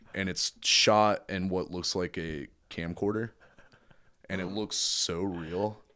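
A man with a very deep, low pitch and monotone, flat intonation, in a very clean recording with a silent background. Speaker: death metal vocalist. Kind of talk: casual chat. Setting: basement studio.

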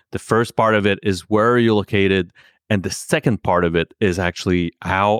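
A man in a French accent, fairly even in intonation, with a dry, close sound with no echo and a very clean recording over a silent background. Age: 40s. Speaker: podcast host. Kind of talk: casual interview. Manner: halting, many fillers.

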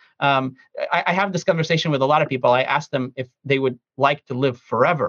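A man with a plain, everyday voice, fairly high pitch, ordinary pitch variation and a fairly quick pace. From Ukraine (Kiev), raised in US from age 10. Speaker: economist and consulting advisor. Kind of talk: interview answers, conversational.

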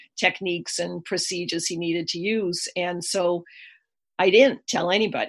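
A woman talks with vocal fry at a moderate pace. Her intonation stays fairly even. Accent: Boston. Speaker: energy healer and author. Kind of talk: interview.

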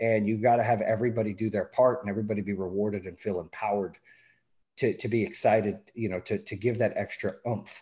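Talking at a very fast pace, a man has a fairly low pitch and a dark, mellow tone. The recording is very clean, with a silent background. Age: 40s. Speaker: entrepreneur, business owner. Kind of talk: casual interview. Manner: animated.

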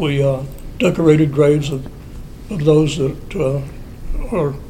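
An American accent comes through at a moderate pace. There is audible room echo and noticeable background noise. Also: man. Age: 70s. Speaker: Freemason lodge elder. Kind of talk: interview. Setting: lodge building.

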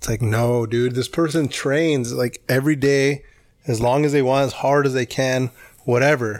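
An ordinary speaking voice moves at a moderate pace with fairly even intonation. The recording is very clean, the background silent. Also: man, medium pitch for a man. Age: 20s. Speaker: podcast co-host. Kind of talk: casual chat.

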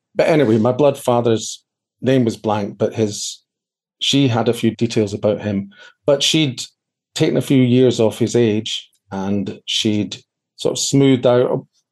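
A man with a Scottish accent, medium in pitch and fairly slow in pace. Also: fairly even intonation. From Scotland, Edinburgh area. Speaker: adoptee interview guest. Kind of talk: interview, personal life story.

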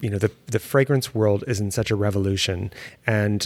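A man with a plain, everyday voice, a fairly low pitch and fairly even intonation. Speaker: podcast host and perfumer. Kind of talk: interview conversation. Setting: studio.

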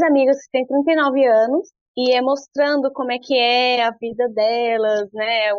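A woman's high pitch with ordinary pitch variation. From Brasília, Brazil. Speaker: early childhood educator. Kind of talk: interview.

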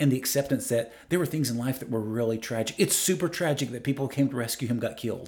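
Ordinary pitch variation marks a man's somewhat breathy speech. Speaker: life coach. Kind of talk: casual interview conversation.

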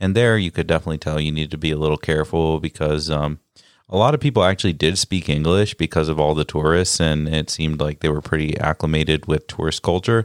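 With a Midwestern accent, a man with a very deep, low pitch speaks very fast with fairly even intonation. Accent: American (Midwest). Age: 20s. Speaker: travel guest. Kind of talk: casual chat.

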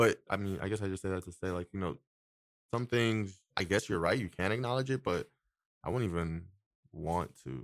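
A man with an American accent speaks at a very deep, low pitch with ordinary pitch variation. He leaves long, frequent pauses on a very clean recording with a silent background. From Nigeria and US. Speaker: podcast guest, friend of host. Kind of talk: casual chat. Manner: halting.

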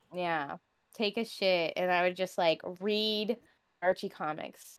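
On a very clean recording with a silent background and a dry, close sound with no echo, a woman speaks at a medium pitch in a plain, everyday voice with ordinary pitch variation. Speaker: streamer. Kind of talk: casual chat.

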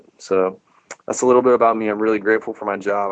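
A man with monotone, flat intonation. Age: 30s. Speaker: elementary physical education teacher. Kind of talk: casual interview.

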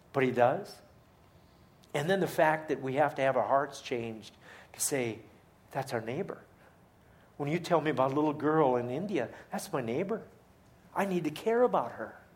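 A man with a fairly high pitch and lively intonation, at a moderate pace with long, frequent pauses, amid audible room echo. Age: 50s. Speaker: charity leader and guest speaker. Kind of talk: sermon. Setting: church.

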